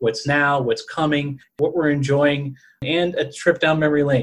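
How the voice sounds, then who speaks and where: In a somewhat breathy, fairly high-pitched voice, a man talks at a fairly slow pace with monotone, flat intonation and very even loudness. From New Orleans, Louisiana. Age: 30s. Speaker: podcast co-host.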